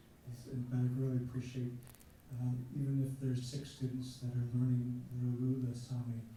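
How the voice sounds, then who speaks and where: A man's medium-pitched voice at a fairly slow pace, monotone and flat in intonation, with audible room echo and noticeable background noise. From Alaska. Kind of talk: audience comment at conference. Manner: halting, many fillers.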